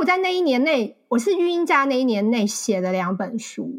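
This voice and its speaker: A fairly quick pace with very wide pitch swings. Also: woman. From Taiwan. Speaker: marketing account manager and author. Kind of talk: interview conversation.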